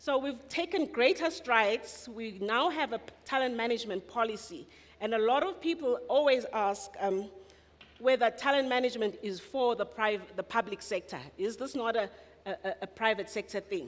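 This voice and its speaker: Through noticeable background noise, a woman's fairly high voice comes across with lively intonation. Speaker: municipal talent management official. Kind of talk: conference presentation. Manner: fast.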